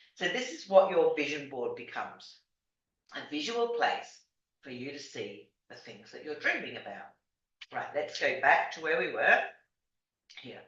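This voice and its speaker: In a room with audible echo, a woman speaks at a moderate pace with lively intonation. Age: 60s. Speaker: life coach. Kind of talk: tutorial. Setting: video call. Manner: casual, hesitant.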